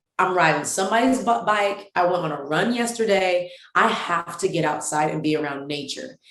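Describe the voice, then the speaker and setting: Amid audible room echo, a woman with a fairly low pitch speaks at a moderate pace with hardly any pauses, an animated tone and lively intonation. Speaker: women's ministry founder. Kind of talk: casual chat.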